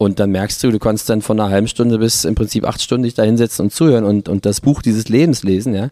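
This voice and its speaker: Very fast and with hardly any pauses, a man speaks at a fairly low pitch with fairly even intonation and a dark, mellow tone, in a dry, close sound with no echo. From Berlin, Germany. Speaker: musician. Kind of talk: casual interview. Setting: studio.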